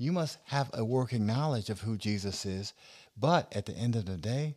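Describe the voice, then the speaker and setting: A man at medium pitch talks with lively intonation at a moderate pace in an unremarkable speaking voice, on a very clean recording with a silent background. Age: 40s. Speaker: minister and podcast host. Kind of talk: casual religious discussion. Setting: studio, also streamed live on social media.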